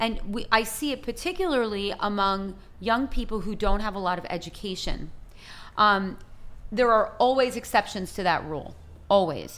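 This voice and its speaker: In an American accent, a woman with a normal speaking voice talks at a moderate pace and a fairly high pitch with ordinary pitch variation. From US, Italian American family. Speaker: nonprofit founder and business coach. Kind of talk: casual interview. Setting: resort in Haiti.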